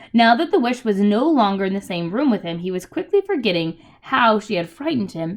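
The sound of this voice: An unforced reading voice is heard here.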